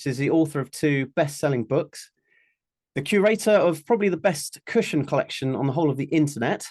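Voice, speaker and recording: The speaker goes at a fairly quick pace against a quiet background. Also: man, ordinary pitch variation. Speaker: interviewer. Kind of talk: podcast interview questions.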